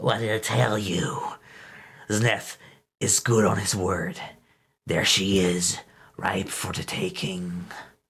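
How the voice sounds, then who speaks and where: Using a put-on character voice, a man speaks in a raspy, hoarse, hissing, menacing tone at a fairly low pitch, going fairly slowly with long, frequent pauses. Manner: menacing, gloating.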